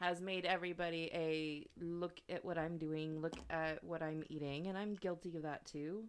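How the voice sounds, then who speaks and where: This woman talks at a moderate pace in a fairly low pitch, her intonation flat and monotone. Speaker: podcast co-host. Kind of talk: casual chat. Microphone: new microphone.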